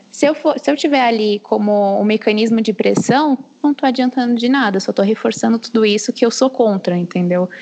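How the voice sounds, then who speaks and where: Fairly quick with hardly any pauses, a woman speaks at a fairly high pitch and very even loudness over noticeable background noise. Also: ordinary pitch variation. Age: 20s. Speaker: history teacher. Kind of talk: casual chat.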